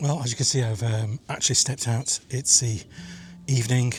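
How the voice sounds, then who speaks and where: There is music in the background. Over it, a man speaks at a moderate pace. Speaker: landscape photographer. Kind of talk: casual talk to camera. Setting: outdoors.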